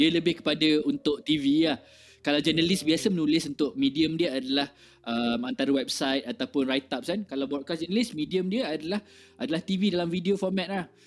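A man with an ordinary speaking voice talks at a fairly quick pace, fairly high in pitch and lively in intonation. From Malaysia, born Kelantan, raised partly in Kuching, Sarawak. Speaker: music festival organiser and indie scene figure. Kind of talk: casual interview chat. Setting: live stream.

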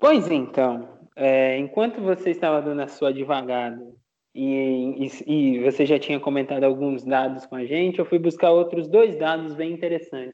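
A man with a normal speaking voice keeps a middling pace, his pitch rather high and its rise and fall normal. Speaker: basketball fan podcaster. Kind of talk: casual sports analysis chat.

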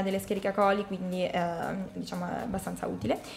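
A woman talks at a very fast pace with ordinary pitch variation over noticeable background noise. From Marche, San Benedetto del Tronto. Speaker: medical student. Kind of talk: educational radio explanation.

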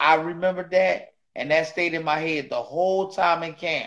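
A man with fairly even intonation. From Philadelphia, US. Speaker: retired boxer and trainer. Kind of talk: casual interview.

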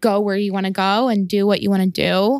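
A woman speaks at medium pitch and a moderate pace, in a normal speaking voice. The recording is very clean, with a silent background. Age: 30s. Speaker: art finance executive at a bank. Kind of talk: interview.

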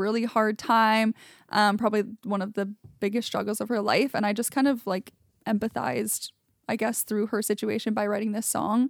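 A normal speaking voice, this woman with a Canadian accent talks at a moderate pace and fairly high pitch with fairly even intonation, in a dry, close sound with no echo on a very clean recording with a silent background. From Ontario, Canada. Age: 20s. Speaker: singer-songwriter. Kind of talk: casual interview.

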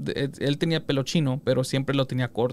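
The speaker is a man with a fairly high pitch. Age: 30s. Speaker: podcast host. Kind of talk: casual chat.

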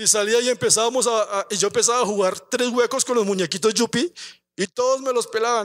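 A man with an animated tone and an extremely high voice talks fairly quickly in dry, close sound with no echo. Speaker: pastor. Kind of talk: sermon.

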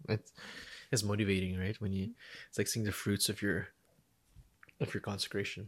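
A man with fairly low pitch and monotone, flat intonation at a moderate pace, in a very clean recording with a silent background. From Philippines. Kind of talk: casual interview. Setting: studio with camera.

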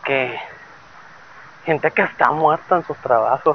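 Noticeable background noise runs under the speech. The pace is very slow. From Torreón, Mexico. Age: 30s. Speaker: podcaster. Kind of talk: casual monologue. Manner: hesitant, many fillers.

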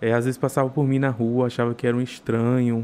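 Dark and mellow in tone, a man's medium-pitched voice moves at a fairly quick pace. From interior of Bahia, Brazil. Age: 20s. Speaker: food entrepreneur and gastronomy student. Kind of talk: casual interview chat. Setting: studio.

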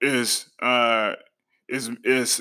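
This man's tone is bright and sharp. The background is silent, and the recording is very clean. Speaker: author and podcaster interviewing the host. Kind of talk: casual interview chat. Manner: animated, enthusiastic.

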